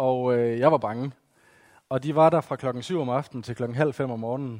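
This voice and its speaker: A man with a West Jutland accent talks at a fairly quick pace and a medium pitch, with fairly even intonation and a dark, mellow tone. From West Jutland, Denmark. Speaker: evangelist and teacher. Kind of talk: talk to a church gathering. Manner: halting, many fillers.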